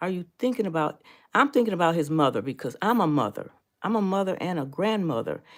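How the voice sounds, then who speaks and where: The recording is very clean, with a silent background. The pitch of the voice swings very widely. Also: woman. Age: 60s. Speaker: senior lifestyle video host. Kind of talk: live stream chat with viewers. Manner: conversational, with fillers and restarts.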